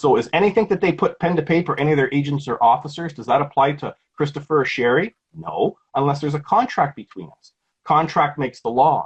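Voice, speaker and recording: A man with a Canadian accent talks at a very fast pace with vocal fry. The sound is dry and close, with no echo. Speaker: legal activist. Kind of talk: interview.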